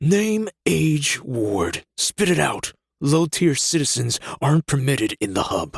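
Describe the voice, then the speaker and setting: Growling in a put-on character voice, a man speaks at a fairly slow pace with a fairly high pitch and very wide pitch swings. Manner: snarling, harsh.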